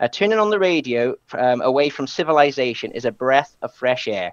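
A man talks at a very fast pace. The sound is dry with no echo, over a quiet background. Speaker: radio presenter. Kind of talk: lecture. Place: home room. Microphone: headset.

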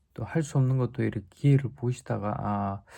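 A man talks at a moderate pace against a quiet background. His voice is dark, mellow and somewhat breathy, with ordinary pitch variation. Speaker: stroke survivor vlogger sharing rehab experience. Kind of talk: casual vlog talk to viewers. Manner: hesitant with frequent fillers.

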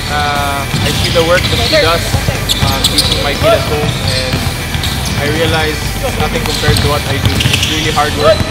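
A man talks at a moderate pace. Loud music plays behind him. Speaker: professional basketball player. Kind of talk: interview answer. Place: hall.

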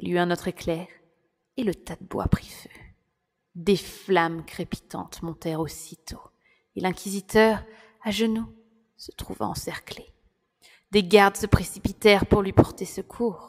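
A medium-pitched woman speaks fairly slowly with fairly even intonation and long, frequent pauses. Her loudness swings widely. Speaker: audiobook narrator. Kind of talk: dramatic audiobook narration, first-person storytelling.

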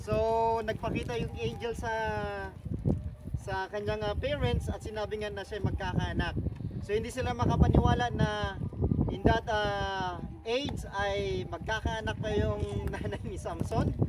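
Over loud background noise, a man talks at a moderate pace with long, frequent pauses, the sound dry with no echo. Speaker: tour guide. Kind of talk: guided tour talk on Bible story. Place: open country. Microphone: camera far.

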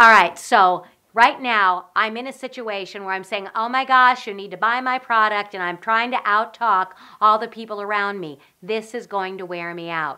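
A woman puts on a strained character voice at medium pitch, with ordinary pitch variation. Her pace is moderate, and her loudness swings widely. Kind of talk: tutorial. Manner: pressed, strained, pushing to be loud.

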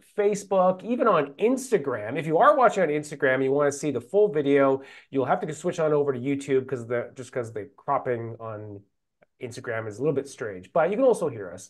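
A man talks at a very fast pace, with very wide pitch swings and big jumps in loudness. The background is quiet. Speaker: program host. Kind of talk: livestream host intro. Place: office.

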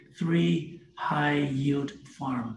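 A man speaks with a fairly high pitch. Light background noise and audible room echo surround him. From Canada. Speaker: crypto startup representative; guest. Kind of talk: casual interview. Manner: halting with many repetitions. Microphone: video call.

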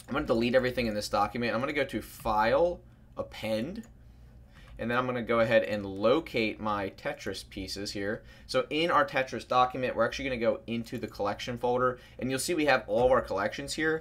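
Ordinary pitch variation marks a man talking at a very fast pace. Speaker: 3D artist tutor. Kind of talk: tutorial.

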